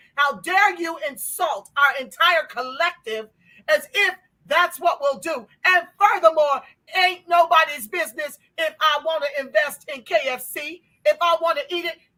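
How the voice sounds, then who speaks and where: A woman's extremely high, raised and projected voice, fairly slow, with ordinary pitch variation. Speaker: reparations advocate and channel host. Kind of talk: passionate political commentary / livestream talk.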